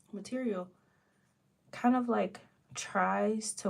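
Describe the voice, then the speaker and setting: This woman talks at a very slow pace. There is a somewhat breathy quality to her voice. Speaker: art student and livestreamer. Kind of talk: casual livestream chat while drawing. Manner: hesitant, many fillers.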